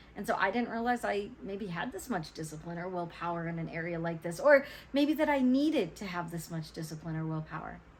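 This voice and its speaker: In audible room echo, a woman's somewhat breathy, fairly low voice moves at a fairly quick pace with hardly any pauses, her animated tone swinging very widely in pitch. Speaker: vlogger. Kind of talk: personal vlog talk to camera.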